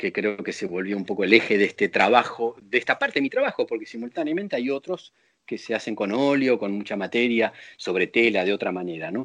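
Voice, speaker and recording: Against a quiet background, a man with a normal speaking voice talks at a fairly quick pace in a medium pitch with lively intonation, the sound dry and close with no echo. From Buenos Aires, Argentina. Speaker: visual artist. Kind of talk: interview.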